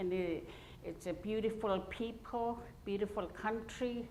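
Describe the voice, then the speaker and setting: Speaking very slowly with an Alaska Native accent, a woman uses a fairly high voice. Room echo is audible. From Arctic Alaska, Gwich'in village. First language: Gwich'in. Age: old. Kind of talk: public talk. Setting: university lecture hall with audience. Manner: halting, many fillers.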